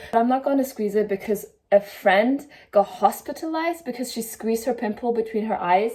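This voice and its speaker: A woman speaks at a fairly quick pace with a German accent, her fairly high pitch carried by a dark, mellow tone. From Germany. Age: 20s. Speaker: sewing content creator. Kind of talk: casual vlog.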